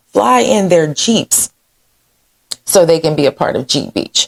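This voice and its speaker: A woman speaks loudly at a fairly slow pace, her tone animated. Her fairly low voice moves through very wide pitch swings. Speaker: local news vlogger. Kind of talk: casual community news commentary.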